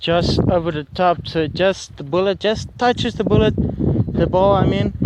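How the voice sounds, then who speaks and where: Amid loud background noise, a man with an Afrikaans accent speaks in a high pitch with ordinary pitch variation, the sound dry with no echo. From South Africa. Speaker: YouTuber doing shooting videos. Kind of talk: casual video commentary; casual vlog chat. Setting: outdoors at shooting range. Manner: hesitant, many fillers. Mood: relaxed, amused. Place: open country. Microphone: phone near.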